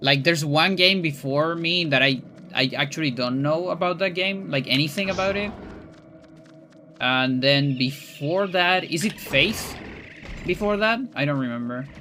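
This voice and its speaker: A man talks at a moderate pace with a fairly high pitch. Music sits in the background, and his pitch varies in an ordinary way. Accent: Spanish. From Chile. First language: Spanish. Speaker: speedrunner and streamer. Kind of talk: casual livestream chat. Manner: halting, many fillers and restarts.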